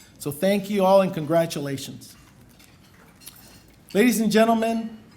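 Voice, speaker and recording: Someone speaks at a fairly slow pace with ordinary pitch variation in a room with audible echo. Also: man, long, frequent pauses. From Puerto Rico. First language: Spanish. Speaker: lawyer, bar association president. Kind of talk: formal acceptance speech. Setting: banquet stage with audience.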